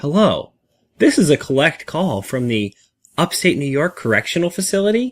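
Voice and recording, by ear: A man puts on a robotic, high-pitched character voice at a moderate pace. The sound is dry and close with no echo, on a very clean recording with a silent background.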